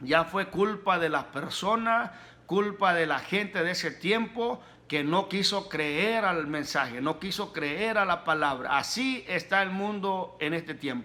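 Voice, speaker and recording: Raised and projected, a man's high-pitched voice has a bright, sharp tone, ordinary pitch variation and a very slow pace. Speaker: pastor, preacher. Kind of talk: sermon, preaching.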